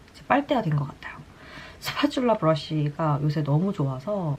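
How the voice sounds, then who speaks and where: Noticeable background noise sits behind a woman whose voice has a very deep, low pitch. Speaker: beauty vlogger and broadcaster. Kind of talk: casual chat while doing makeup. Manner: light, chatty storytelling.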